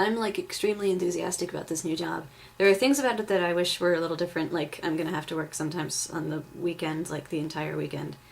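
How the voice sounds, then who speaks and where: Over noticeable background noise, the speech runs at a very fast pace with hardly any pauses and ordinary pitch variation. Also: woman, fairly low pitch for a woman. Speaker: vlogger. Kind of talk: casual vlog. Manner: filler-heavy, lots of um and like.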